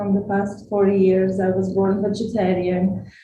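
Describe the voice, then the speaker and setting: Audible room echo surrounds a woman speaking at a medium pitch and a fairly slow pace. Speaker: vegan chef and activist. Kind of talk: talk to an audience.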